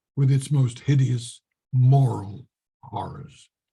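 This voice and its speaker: A man's somewhat breathy voice at a medium pitch moves along at a very slow pace. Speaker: voice actor. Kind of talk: classic gothic story reading, first-person narration. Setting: Zoom presentation, home microphone.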